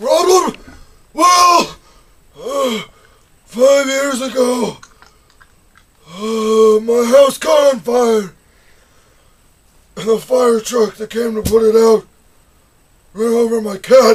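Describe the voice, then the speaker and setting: Putting on a character voice, a man speaks at an extremely high pitch and a very slow pace, with long, frequent pauses. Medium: comedy sketch. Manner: loud, agitated, repeating words.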